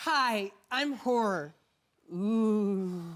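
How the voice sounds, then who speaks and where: A put-on character voice, female-sounding and medium in pitch, comes through a very clean recording with a silent background. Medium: stage play. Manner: timid, sweet.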